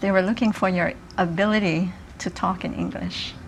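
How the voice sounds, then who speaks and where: A woman with a Japanese accent talks at a medium pitch with ordinary pitch variation over noticeable background noise. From Hawaii. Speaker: retired social worker and community activist. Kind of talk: interview.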